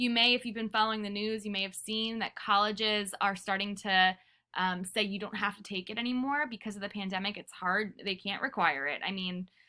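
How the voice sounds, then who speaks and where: Fairly quick and fairly even in intonation, a medium-pitched woman speaks with an American accent. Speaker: teacher. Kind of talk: recorded class lesson. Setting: pre-recorded video lesson. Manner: fast; casual, filler-heavy.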